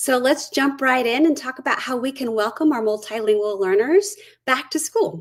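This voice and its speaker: Her pitch is high and her intonation lively. The woman speaks at a moderate pace. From US South (Georgia), born in Brazil. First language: Portuguese. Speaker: curriculum lead, former teacher. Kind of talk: webinar presentation. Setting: online webinar.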